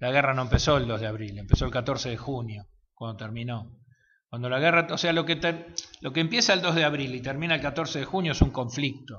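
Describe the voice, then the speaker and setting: The speaker has an Argentine accent. The pace is very fast. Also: man. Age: 50s. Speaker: war veteran. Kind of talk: interview answer.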